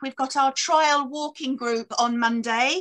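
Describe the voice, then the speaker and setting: A woman's raised, projected voice at a fairly slow pace, with fairly even intonation over a quiet background. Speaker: church minister hosting service. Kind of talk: church notices. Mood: warm, friendly. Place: home room. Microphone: video call.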